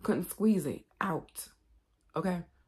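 A woman's dark, mellow voice at a medium pitch, fairly slow in pace, against a quiet background. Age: 40s. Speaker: YouTube vlogger. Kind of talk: casual monologue to camera. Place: home room. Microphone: phone near.

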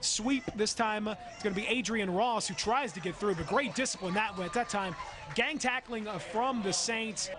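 An animated tone from a man with a high pitch, with noticeable background noise. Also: ordinary pitch variation. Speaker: football play-by-play announcer. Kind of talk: live sports commentary over game highlights, calling each play as it happens. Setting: highlight video with clips from different game broadcasts. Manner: fast, animated play-by-play delivery, rising excitement on big hits and interceptions; clipped, rapid-fire play calls with occasional fillers.

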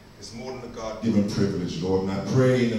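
A man speaks in a fairly low pitch. Strong room echo and light background noise are audible. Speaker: visiting preacher. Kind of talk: prayer before a sermon. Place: church. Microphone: pa.

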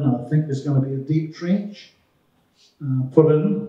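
With a New Zealand accent, a man with a fairly high pitch speaks in a dark, mellow, somewhat breathy tone, with audible room echo over a quiet background. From New Zealand, Upper Hutt. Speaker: media manager for a rail infrastructure project; guest. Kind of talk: presentation to a club meeting. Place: hall. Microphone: handheld.

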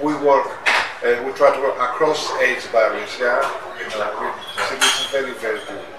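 Loud background noise sits under a man talking at a moderate pace. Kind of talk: interview answer. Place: cafe.

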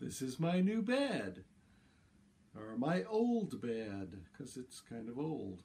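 A man with very wide pitch swings. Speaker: presenter. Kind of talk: casual vlog chat. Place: home room. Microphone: camera far.

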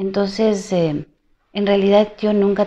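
The woman's tone is dark and mellow. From Ecuador. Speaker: singer; interviewee. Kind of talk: interview. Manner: halting. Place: home room. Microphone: lapel.

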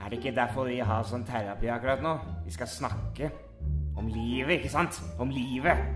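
Clear music plays in the background as a man in a put-on character voice speaks at a medium pitch in a menacing tone. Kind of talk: comic dub parody. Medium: fan dub. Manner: exasperated, sarcastic, turning menacing.

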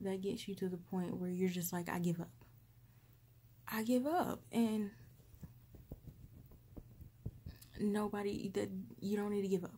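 Soft-spoken and somewhat breathy, a woman talks at a fairly slow pace with ordinary pitch variation and long, frequent pauses over light background noise. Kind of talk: soft personal attention roleplay with advice. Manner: soft, hushed comforting ASMR voice. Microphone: phone near.

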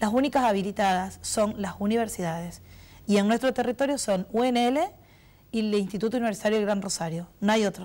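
On a very clean recording with a silent background, a woman with a fairly high pitch and a dark, mellow tone talks at a fairly quick pace with ordinary pitch variation. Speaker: president of a professional cosmetology association. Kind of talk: TV interview.

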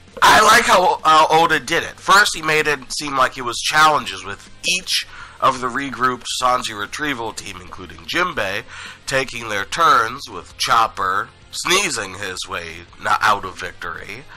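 A man speaks at a fairly slow pace in a fairly high pitch, with very wide pitch swings and big swings in loudness, while music plays in the background. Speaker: anime and manga reviewer. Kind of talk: casual review commentary.

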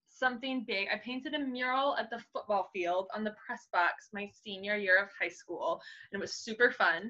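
Bright and sharp in tone, a woman's fairly high voice sounds animated, with ordinary pitch variation. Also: moderate pace, quiet background. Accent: American. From Kansas. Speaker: scenic painter and muralist; guest. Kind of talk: casual interview. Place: home room. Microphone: video call.

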